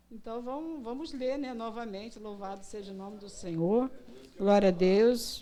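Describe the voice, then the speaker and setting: A woman talks with a fairly high pitch. Noticeable background noise sits behind her. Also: ordinary pitch variation, moderate pace, big swings in loudness. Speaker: missionary preacher. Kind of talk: sermon. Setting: church.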